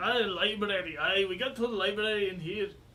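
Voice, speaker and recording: A man does a put-on character voice, gruff and high-pitched. He talks fairly quickly over light background noise. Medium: actual play. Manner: gruff, suspicious.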